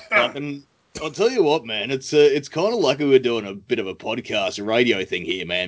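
In an Australian accent, a man talks at a moderate speed. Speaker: podcast host. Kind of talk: casual chat.

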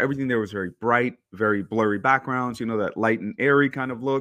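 With an American accent, a man talks at a very fast pace and a medium pitch. His pitch varies in an ordinary way, against a quiet background. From New York. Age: 30s. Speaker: photographer. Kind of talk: casual chat.

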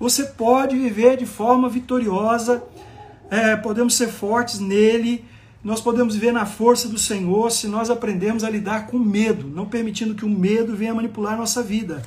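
A man with a high pitch talks at a moderate pace. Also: fairly even intonation. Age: 50s. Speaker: pastor. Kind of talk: sermon.

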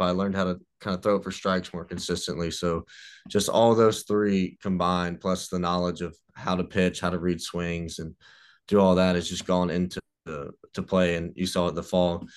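A monotone, flat Mississippi accent at a moderate pace against a quiet background. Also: man. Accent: US Southern (Mississippi). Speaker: college baseball pitcher. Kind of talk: casual interview.

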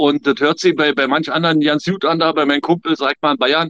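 A man talks at a fairly high pitch and a very fast pace. His intonation is monotone and flat. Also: dry, close sound with no echo. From Germany. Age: 50s. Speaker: emigrant. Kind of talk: casual chat.

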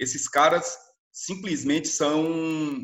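A man with a normal speaking voice, fairly high in pitch, at a fairly slow pace. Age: 40s. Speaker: literature teacher. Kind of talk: educational talk. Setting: remote recording.

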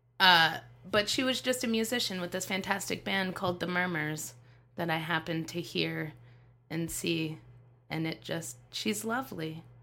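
Using lively intonation and vocal fry, a woman with an American accent speaks at a moderate pace in a fairly low pitch with a bright, sharp tone. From Las Vegas, Nevada, US. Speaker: stand-up comedian. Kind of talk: casual chat.

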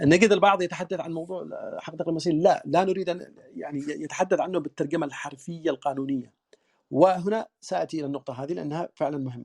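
A high-pitched man at a fairly quick pace, with ordinary pitch variation, big swings in loudness, and a dry, close sound with no echo. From southern Yemen (Yafa). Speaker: lawyer. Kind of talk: interview, formal discussion. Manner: formal, fluent, with fillers.

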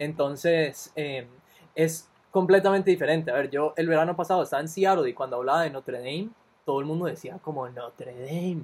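Speaking in a normal speaking voice, a man with fairly high pitch moves at a fairly quick pace with ordinary pitch variation. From Costa Rica. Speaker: podcast co-host, recent university graduate. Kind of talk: casual chat.

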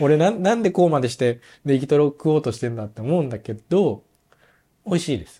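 The tone is dark and mellow, somewhat breathy. Loudness swings widely, and the intonation is lively. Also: man, fairly high pitch for a man. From Japan, Nagoya. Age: 30s. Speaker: orthopedic shoemaker apprentice. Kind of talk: casual chat.

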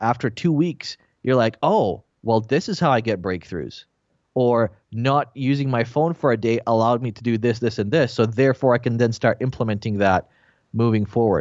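Speaking with a Canadian accent in an ordinary speaking voice, this person keeps a moderate pace and ordinary pitch variation. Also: man, medium pitch for a man. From Bosnia, raised in Canada from 1996. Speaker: entrepreneur and podcaster. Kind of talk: casual interview conversation.

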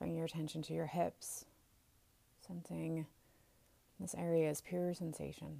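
A woman talks at a fairly slow pace. She leaves long, frequent pauses. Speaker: meditation teacher. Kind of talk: guided meditation.

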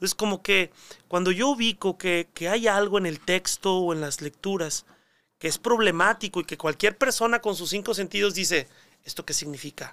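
A man projects a raised voice with a high pitch and a bright, sharp tone. He speaks at a moderate pace with ordinary pitch variation, and the sound is dry and close with no echo. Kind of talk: casual interview.

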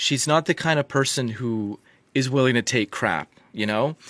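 Here is a man with a normal speaking voice. He talks at a moderate pace with medium pitch. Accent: Canadian. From British Columbia, Canada. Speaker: medical doctor and geoscientist. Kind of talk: interview conversation.

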